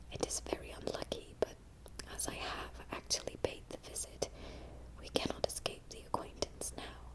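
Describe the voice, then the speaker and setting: Whispering against noticeable background noise. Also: moderate pace. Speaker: ASMR narrator. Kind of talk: audiobook reading of a classic novel. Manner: whispered, soft-spoken.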